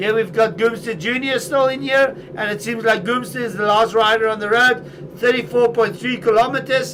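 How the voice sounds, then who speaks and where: With hardly any pauses, a man in an animated tone talks at a high pitch with ordinary pitch variation over noticeable background noise. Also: moderate pace. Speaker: esports cycling commentator. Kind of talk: live commentary. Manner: animated, shouting encouragement.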